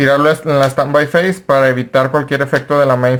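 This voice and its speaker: At a moderate pace, a man with a fairly high voice talks in a monotone, flat intonation. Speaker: card game content creator. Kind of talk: tutorial.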